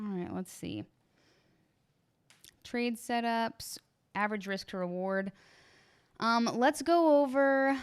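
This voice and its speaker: A woman's fairly high voice with lively intonation, very slow and full of long, frequent pauses, in a very clean recording with a silent background. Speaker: trading educator. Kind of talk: live stream Q&A. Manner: casual, chatty; stammering.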